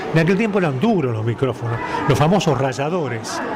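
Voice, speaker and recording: This man's voice sits fairly high, with very wide pitch swings. Audible room echo and noticeable background noise surround him. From Argentina, Santa Fe province. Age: 80s+. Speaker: veteran radio announcer. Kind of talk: interview conversation. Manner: formal.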